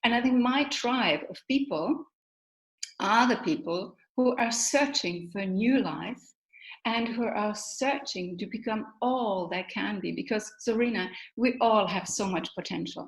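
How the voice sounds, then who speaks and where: Somewhat breathy, a woman talks at a fairly slow pace. Her pitch is fairly high, with ordinary variation. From Germany. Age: 60s. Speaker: motivational speaker. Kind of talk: interview.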